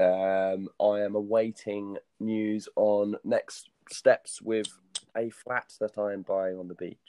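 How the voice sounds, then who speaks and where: A man with a British accent, fairly low in pitch, flat and monotone, at a very slow pace. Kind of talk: casual chat. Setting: video call.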